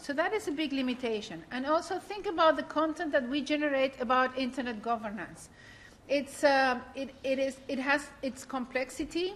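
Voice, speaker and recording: With a Spanish accent, a woman speaks in a high pitch with ordinary pitch variation. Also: moderate pace. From Latin America. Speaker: workshop moderator. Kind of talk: panel discussion moderation. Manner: halting, frequent fillers.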